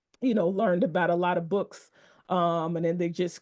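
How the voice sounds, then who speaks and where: The speaker has an American accent and talks at a moderate pace. The background is quiet. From Texas, Dallas-Fort Worth area. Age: 40s. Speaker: book collector and interview host. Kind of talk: casual interview conversation.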